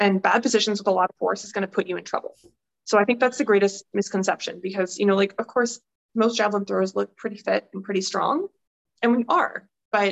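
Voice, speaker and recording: Fairly even intonation in a Canadian accent. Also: woman. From Vancouver, western Canada. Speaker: Olympic javelin thrower. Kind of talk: casual interview chat. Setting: video call.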